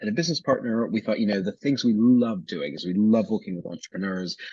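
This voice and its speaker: A man's fairly low, dark, mellow voice in an American accent, with lively intonation over a quiet background. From Canada. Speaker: business consultant. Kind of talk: podcast interview. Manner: hesitant, many fillers.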